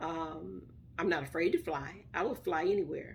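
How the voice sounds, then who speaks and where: With a Southern US accent, a woman speaks at a fairly low pitch. Her intonation stays fairly even. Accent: Southern US, country. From US South, Mississippi. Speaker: vlogger. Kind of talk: casual vlog talk. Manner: fast, words chopped.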